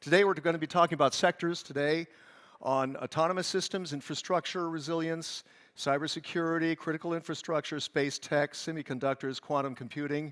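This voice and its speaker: With an American accent, a man of fairly high pitch talks at a fairly quick pace in a dry, close sound with no echo. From California. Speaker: conference moderator, journalist. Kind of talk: event stage moderation. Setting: stage with live audience, streamed. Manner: animated, conversational.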